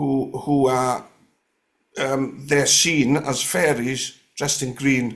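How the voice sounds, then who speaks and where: A man speaks in a North Welsh accent at a medium pitch. His intonation is flat and monotone. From North West Wales (Gwynedd). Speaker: guest sharing paranormal stories. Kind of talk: casual interview chat. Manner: hesitant, many fillers and restarts.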